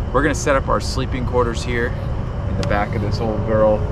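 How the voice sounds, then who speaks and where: A man talks at a fairly quick clip over loud background noise. The sound is dry, with no echo. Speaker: road trip vlogger. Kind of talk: casual vlog chat. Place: car. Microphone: camera far.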